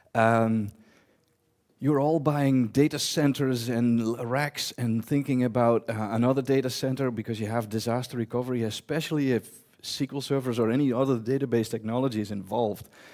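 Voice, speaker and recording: Speaking with a Dutch accent, a man keeps a fairly quick pace and fairly even intonation. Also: medium pitch for a man. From eastern Netherlands. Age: 40s. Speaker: database technology conference speaker. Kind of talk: conference talk. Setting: stage with audience. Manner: fast; loud.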